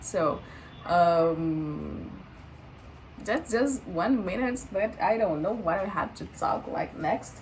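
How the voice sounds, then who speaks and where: Pausing long and often at a very slow pace, a woman with a strong Brazilian accent speaks in a medium pitch with lively intonation, and the room echo is audible. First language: Portuguese. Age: 20s. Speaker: vlogger. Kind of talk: casual vlog monologue, unscripted. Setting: talking to camera. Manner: halting, many fillers and false starts.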